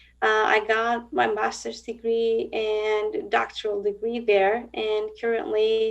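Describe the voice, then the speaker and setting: A woman speaks with a Turkish accent at a fairly slow pace. Her pitch is fairly high. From Turkey. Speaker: blind psychologist and university professor. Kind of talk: interview. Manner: hesitant, with frequent fillers.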